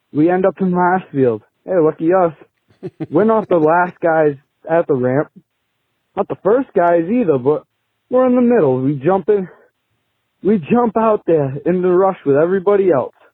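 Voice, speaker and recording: With a Boston accent, a man speaks at a moderate pace in a high pitch, his loudness very even and his pauses long and frequent. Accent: Boston-area New England. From Massachusetts. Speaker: podcast caller, mechanic. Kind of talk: recorded phone story.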